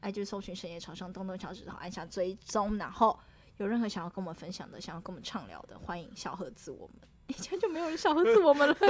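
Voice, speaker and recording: In a Taiwanese accent, the animated voice races at a very fast pace with very wide pitch swings and big swings in loudness. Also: woman, medium pitch for a woman. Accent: Taiwanese Mandarin. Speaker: podcast co-host. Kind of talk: casual chat. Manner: animated, laughing often.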